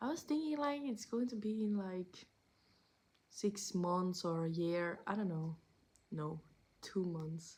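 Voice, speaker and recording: A woman speaks very slowly at a medium pitch, her voice somewhat breathy. Her intonation is lively, and long pauses come often. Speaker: vlogger. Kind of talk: casual vlog update. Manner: halting, searching for words.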